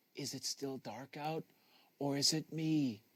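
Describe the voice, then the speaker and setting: A man does a put-on character voice with fairly even intonation, recorded with a dry, close sound and no echo. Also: fairly high pitch for a man, fairly slow pace. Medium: read story.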